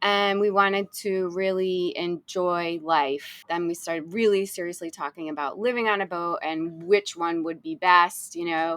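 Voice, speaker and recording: Using a normal speaking voice, a woman talks at a moderate pace with hardly any pauses. Her pitch is fairly low and her intonation fairly even. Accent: American. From US Northeast, Rhode Island. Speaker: sailing content creator. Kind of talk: casual interview chat.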